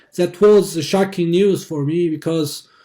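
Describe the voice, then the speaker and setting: In a Xinjiang accent, a man speaks with a high-pitched voice. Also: very clean recording, silent background. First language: Uyghur. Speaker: activist. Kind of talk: testimony. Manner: halting.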